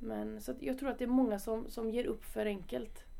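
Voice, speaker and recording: A woman's voice shows ordinary pitch variation, and room echo is audible. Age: 20s. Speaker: footballer. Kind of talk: podcast interview. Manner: casual.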